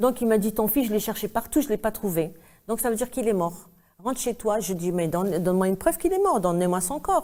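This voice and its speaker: A woman's fairly high pitch, lively intonation and fairly quick pace. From Algeria. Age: 60s. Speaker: activist, mother of a disappeared son. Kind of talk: interview testimony. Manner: emotional, halting.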